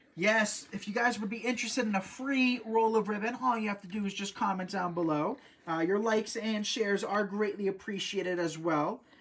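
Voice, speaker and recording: The pace is fairly quick. Noticeable background noise runs under the voice. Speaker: craft tutorial host. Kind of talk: live craft tutorial. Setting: live stream. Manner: fast; casual, halting.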